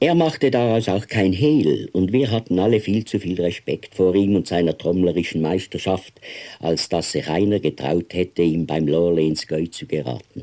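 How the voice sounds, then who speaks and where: With a very deep, low pitch and a dark, mellow tone, a man speaks fairly slowly using lively intonation. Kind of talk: audiobook reading of a novella.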